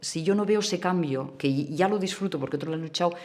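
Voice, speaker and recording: With lively intonation, a woman speaks in a Catalan accent. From Catalonia, Spain (small town near Barcelona). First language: Catalan (speaking Spanish). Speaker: communist party activist. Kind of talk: documentary interview. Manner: halting, with many false starts.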